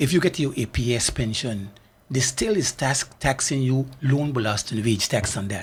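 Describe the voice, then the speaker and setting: A man's somewhat breathy voice sits at medium pitch and moves at a moderate pace. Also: ordinary pitch variation, very clean recording, silent background. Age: 70s. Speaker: community foundation volunteer. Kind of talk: radio talk show discussion. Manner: animated.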